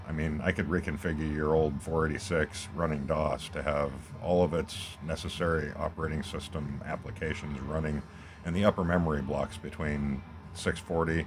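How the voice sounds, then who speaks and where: Quiet and fairly quick, a man talks in a very deep, low voice with fairly even intonation. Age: old. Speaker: gaming YouTuber. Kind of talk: casual gameplay commentary. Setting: at home, recording on tablet. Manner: quiet, talking low. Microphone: tablet's small built-in mic.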